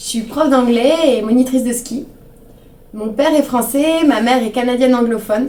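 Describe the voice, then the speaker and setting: A woman's high-pitched voice with ordinary pitch variation, amid audible room echo and noticeable background noise. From French Alps. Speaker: English teacher and ski instructor. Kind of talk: self-introduction promo.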